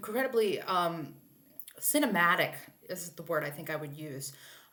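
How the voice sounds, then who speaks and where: Very wide pitch swings from a woman, with audible room echo. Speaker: literature instructor. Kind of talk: recorded lecture. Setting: alone in a room, video recording. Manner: halting, many fillers.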